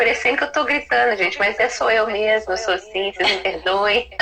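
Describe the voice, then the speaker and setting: A woman's voice sits at a medium pitch. Noticeable background noise is present too. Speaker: psychologist, live co-host. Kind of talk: live stream chat. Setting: live video stream. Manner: loud.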